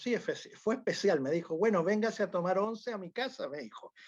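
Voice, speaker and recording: A man speaks in a dark, mellow tone. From Chile. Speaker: UFO researcher. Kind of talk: interview. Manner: halting.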